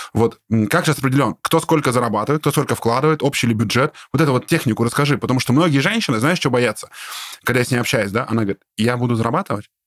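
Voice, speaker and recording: A man with a medium pitch and animated tone talks at a very fast pace, with ordinary pitch variation and very even loudness, in a dry, close sound with no echo. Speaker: business podcast host. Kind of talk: casual interview. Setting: studio.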